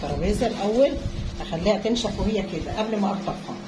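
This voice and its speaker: A woman talks at a moderate speed, her voice carrying audible room echo over noticeable background noise. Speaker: home cooking vlogger. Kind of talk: cooking tutorial. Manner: halting.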